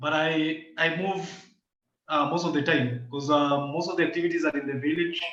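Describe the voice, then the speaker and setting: There is audible room echo as a man with a fairly high pitch talks at a moderate pace with ordinary pitch variation. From Kenya. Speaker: climate and environmental rights activist. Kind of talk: video call interview. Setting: video call. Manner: loud. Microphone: echoey room.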